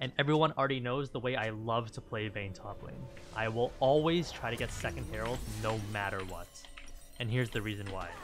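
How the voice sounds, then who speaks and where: A man's medium-pitched voice at a fairly quick pace, with ordinary pitch variation and music in the background. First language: not English. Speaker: gaming streamer, Vayne coach. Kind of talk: gameplay commentary. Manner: animated.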